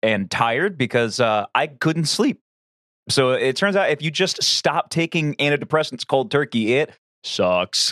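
With lively intonation and a fairly bright tone, a man is heard in a very clean recording with a silent background and a dry, close sound with no echo.

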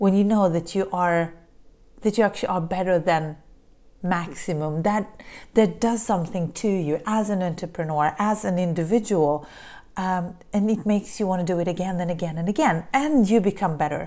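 In a very clean recording with a silent background, a woman speaks at a moderate pace. Her medium pitch and dark, mellow tone show ordinary pitch variation. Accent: Polish. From Poland. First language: Polish. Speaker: podcast host, business coach. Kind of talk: solo monologue podcast. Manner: halting, frequent repetitions.

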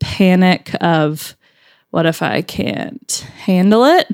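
A woman at a medium pitch, in a very clean recording with a silent background. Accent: Southern US. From Alabama. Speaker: podcast producer. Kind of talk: casual chat.

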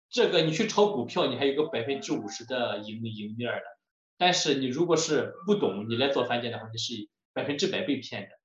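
A man's fairly high voice at a fairly quick pace, with very wide pitch swings and audible room echo. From China, Shandong. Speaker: home builder and lecturer. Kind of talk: lecture.

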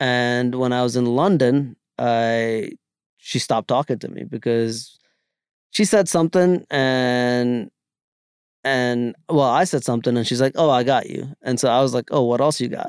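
A man with an American accent speaks in a normal speaking voice at a medium pitch, fairly slowly and with ordinary pitch variation, in a very clean recording with a silent background and a dry, close sound with no echo. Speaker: podcast guest. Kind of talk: casual chat.

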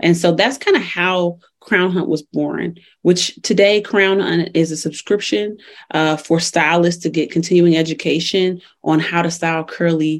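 An unremarkable speaking voice carries an American accent. The pace is moderate and the intonation fairly even. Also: woman. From Chicago. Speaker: entrepreneur. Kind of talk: interview.

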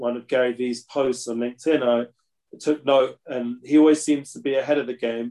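With a London accent, a man of medium pitch speaks in a dark, mellow tone with monotone, flat intonation. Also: moderate pace. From London, England. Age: 40s. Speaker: consultant and rabbi-teacher, music booking agent. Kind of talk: casual interview chat. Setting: remote call from Jerusalem.

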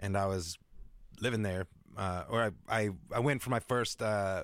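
In a very clean recording with a silent background and a dry, close sound with no echo, a man with an American accent speaks in a normal speaking voice. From US Pacific Northwest, Seattle suburbs. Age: 40s. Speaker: music producer. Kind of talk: casual interview.

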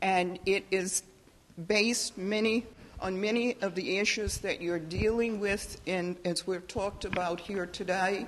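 This woman has an ordinary speaking voice at a medium pitch. She talks at a fairly slow pace. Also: fairly even intonation. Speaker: audience member, housing specialist. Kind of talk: audience comment. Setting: library talk with audience.

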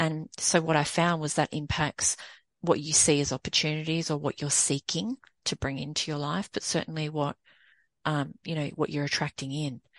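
In a dry, close sound with no echo and a quiet background, a woman with an Australian accent speaks at a moderate pace with a very deep, low pitch and fairly even intonation. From Sydney, Australia. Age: 40s. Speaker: women's empowerment coach and consultant. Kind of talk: casual interview.

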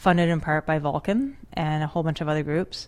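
A woman has an ordinary speaking voice, fairly low in pitch, with an American accent. Her intonation is fairly even, on a very clean recording with a silent background. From rural Western New York, US. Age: 40s. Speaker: conservation investment CEO. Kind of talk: interview. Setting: studio.

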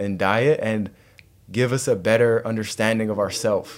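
A man talks in a normal speaking voice at a medium pitch and a moderate pace. His pitch variation is ordinary, and the recording is very clean with a silent background. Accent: Canadian. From western Canada (Calgary, then Richmond, BC). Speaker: wellness coach and entrepreneur. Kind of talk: casual interview. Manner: relaxed, conversational.

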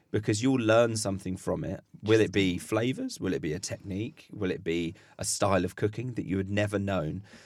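A man's fairly low-pitched, plain, everyday voice at a fairly quick pace, on a very clean recording with a silent background. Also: ordinary pitch variation. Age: 30s. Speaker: chef and food waste content creator. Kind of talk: casual chat. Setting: studio.

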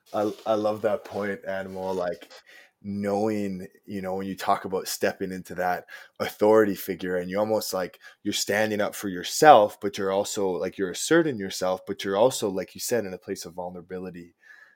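In a Canadian accent, a man with an unremarkable speaking voice talks at a fairly quick pace and fairly low pitch, with fairly even intonation, on a very clean recording with a silent background. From western Canada. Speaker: podcast host. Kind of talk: casual chat.

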